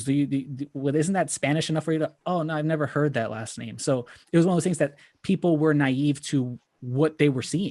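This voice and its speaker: An unremarkable speaking voice, a man's at a fairly high pitch, comes with fairly even intonation over a quiet background, the sound dry and close with no echo. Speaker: board game content creator. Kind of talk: panel discussion, personal story.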